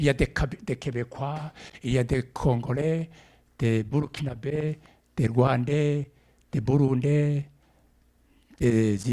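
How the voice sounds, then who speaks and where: At a very slow pace, a man with an East African accent speaks in a dark, mellow tone, his pitch fairly high and his intonation fairly even. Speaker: preacher. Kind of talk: sermon. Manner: halting.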